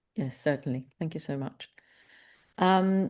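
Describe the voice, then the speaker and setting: A woman's fairly low voice with a Polish accent over a quiet background. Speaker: webinar moderator, membership staff. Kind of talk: webinar Q&A. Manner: halting, many fillers.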